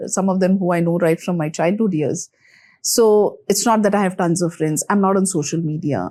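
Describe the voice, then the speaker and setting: A woman speaks at a moderate pace with a dark, mellow tone. The recording is very clean, with a silent background. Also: medium pitch for a woman, ordinary pitch variation. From India, Mumbai. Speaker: HR executive. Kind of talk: interview conversation.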